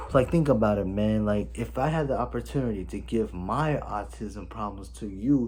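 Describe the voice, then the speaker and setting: A man's very deep, low, somewhat breathy voice with audible room echo. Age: 20s. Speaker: vlogger. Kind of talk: personal vlog. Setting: home, filming on camera. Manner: animated.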